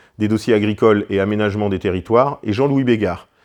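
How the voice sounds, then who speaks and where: A man with a normal speaking voice talks at a fairly quick pace in a medium pitch. His pitch variation is ordinary, and the background is quiet. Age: 40s. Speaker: hunting federation president. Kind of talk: prepared speech. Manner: formal.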